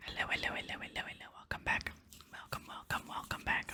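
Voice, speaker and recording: Someone is whispering. The tone is relaxed. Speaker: ASMR gaming content creator. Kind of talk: casual talk to camera, gaming commentary. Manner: soft-spoken, relaxed, chatty.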